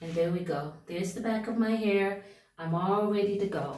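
A woman speaks at a fairly slow pace with ordinary pitch variation. Audible room echo is present. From United States. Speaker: hair care vlogger. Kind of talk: tutorial. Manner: casual, with frequent filler words. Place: bathroom. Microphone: phone near.

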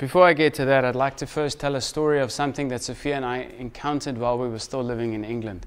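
Talking at a very fast pace, this speaker is a man. Ordinary pitch variation marks his delivery. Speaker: preacher. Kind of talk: sermon. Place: church.

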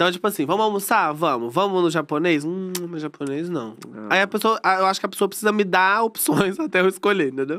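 A man talks at a fairly quick pace with hardly any pauses, his high pitch, lively intonation and bright, sharp tone carrying throughout. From Brazil. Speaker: reality TV ex-contestant. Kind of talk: casual chat. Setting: studio. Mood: playful, joking storytelling. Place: studio. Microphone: studio mic.

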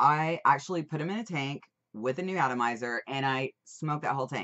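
Over a quiet background, a woman with a very deep, low pitch speaks in an animated tone at a fairly quick pace with ordinary pitch variation. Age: 21 or older. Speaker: vaping product reviewer. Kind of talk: casual product review. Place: home room. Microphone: webcam.

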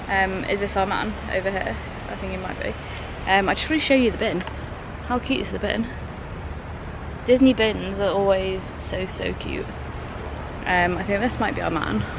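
At a moderate pace with long, frequent pauses, the speech has a dry sound with no echo and noticeable background noise. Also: woman. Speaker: travel vlogger. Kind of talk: casual vlog chat. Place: street. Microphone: phone near.

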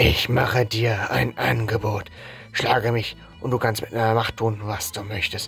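Over clear background music, a man uses a raspy, put-on character voice at medium pitch and a moderate pace. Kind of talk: read-aloud game dialogue. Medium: game stream. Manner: menacing, contemptuous.

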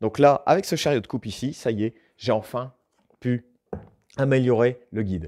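The background is quiet. A man speaks in a dark, mellow tone. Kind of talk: tutorial. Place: workshop.

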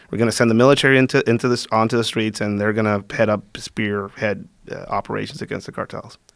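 Against a quiet background with dry sound and no echo, a man at medium pitch talks at a very fast pace with hardly any pauses. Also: fairly even intonation. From Mexico, northern border region. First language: Spanish. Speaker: security specialist and combatives instructor; combatives instructor. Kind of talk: casual interview conversation. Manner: halting, with frequent fillers and repeats. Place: studio. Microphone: studio mic.

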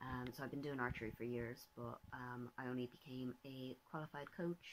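Speaking with an Irish accent, a woman uses a very deep, low pitch, fairly even intonation and a moderate pace. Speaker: vlogger and artist. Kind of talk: casual vlog talk. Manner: hesitant, many fillers.

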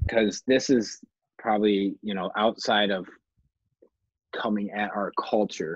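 Over a quiet background with a dry sound and no echo, a man speaks at a fairly low pitch and fairly slow pace in a monotone, flat intonation with long, frequent pauses. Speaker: podcast co-host, former college football player; podcast co-host. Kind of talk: casual chat. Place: home room. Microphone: video call.

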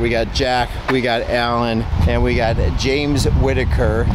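The man's voice sounds dry, with no echo. Noticeable background noise runs underneath. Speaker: pond builder vlogger. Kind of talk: casual vlog chat. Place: street. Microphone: phone near.

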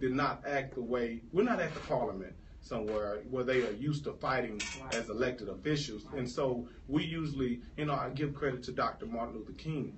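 With ordinary pitch variation, a man speaks fairly quickly as light background noise sits behind him. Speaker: candidate. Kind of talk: interview answer. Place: studio. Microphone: studio mic.

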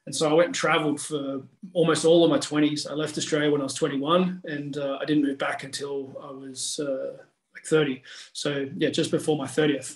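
A man's flat, monotone voice at a moderate pace, with audible room echo and a quiet background. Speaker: podcast guest, strength coach. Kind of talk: interview answer. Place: home room. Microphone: video call.

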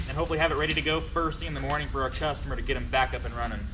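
The speech comes at a very fast pace, with noticeable background noise behind it. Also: man. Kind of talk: work explanation to camera. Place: workshop. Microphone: camera far.

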